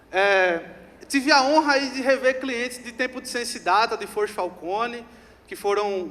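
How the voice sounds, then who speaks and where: Animated and bright, sharp in tone, the voice moves at a moderate pace with ordinary pitch variation. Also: man. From Rio Grande do Norte, Brazil. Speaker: customer success executive, speaker. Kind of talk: conference talk. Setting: stage with audience.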